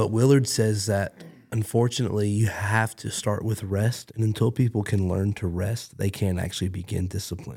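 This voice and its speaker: A man speaks at a moderate pace with a fairly low pitch, fairly even intonation and a somewhat breathy, dark, mellow tone. The recording is very clean, with a silent background. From Canada. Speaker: pastor. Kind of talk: casual chat.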